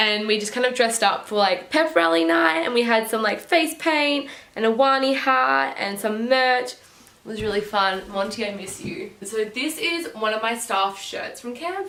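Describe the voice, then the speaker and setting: Over noticeable background noise and audible room echo, a woman with an Australian accent speaks at a moderate pace with hardly any pauses, using a fairly high pitch and very wide pitch swings. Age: 20s. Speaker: vlogger, former summer camp counselor. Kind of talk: casual vlog talk to camera. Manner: chatty.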